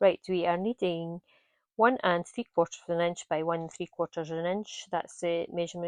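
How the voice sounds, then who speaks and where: On a dry, close recording with no echo and a quiet background, a woman talks at a medium pitch with a Scottish accent. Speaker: craft tutor. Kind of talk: tutorial. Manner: hesitant, many fillers.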